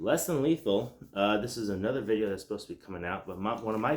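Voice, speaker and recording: Very fast and quiet, a man talks at a fairly low pitch. His pitch varies in an ordinary way. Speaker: self-defense and tactics YouTuber. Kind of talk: casual tutorial to camera. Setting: at home at night. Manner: loose with many fillers.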